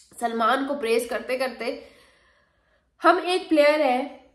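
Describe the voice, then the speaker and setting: A woman talks at a fairly slow pace in an animated tone. Room echo is audible. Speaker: cricket commentator. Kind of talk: sports opinion vlog.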